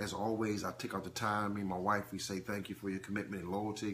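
Against light background noise, a man's fairly low voice sounds bright and sharp, delivered in a monotone, flat intonation. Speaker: preacher. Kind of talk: live-stream teaching. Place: home room. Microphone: phone near.

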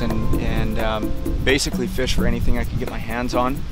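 A man speaks over clear music in the background. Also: dry sound with no echo. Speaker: fly fishing guide. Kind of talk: interview answer. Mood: relaxed, reflective. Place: boat.

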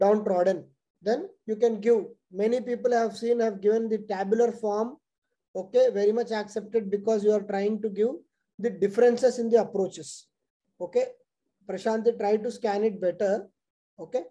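Pausing long and often, a man speaks at a moderate pace in a high pitch with fairly even intonation and a dark, mellow tone. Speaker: exam coaching teacher. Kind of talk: lecture. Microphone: webcam.

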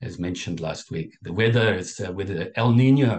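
A man speaks with a fairly low pitch and lively intonation. His voice is somewhat breathy. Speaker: Buddhist dharma teacher. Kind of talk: dharma talk. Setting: video call. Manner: halting with filler words.

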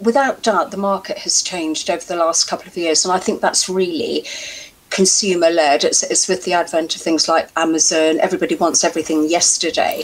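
An unremarkable speaking voice from a woman, fairly low in pitch, fairly quick, with fairly even intonation. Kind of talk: interview answer. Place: home room. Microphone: headset.

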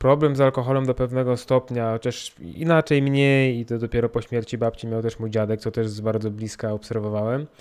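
With a Polish accent, a man talks at a fairly quick pace with hardly any pauses. His intonation stays fairly even. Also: medium pitch for a man. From Poland. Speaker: podcaster. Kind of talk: personal monologue. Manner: halting.

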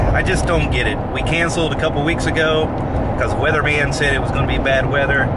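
Over loud background noise, a man speaks at a very fast pace in a dry sound with no echo. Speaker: airfield owner vlogger. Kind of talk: casual vlog chat. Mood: mildly frustrated about weather. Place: car. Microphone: phone near.

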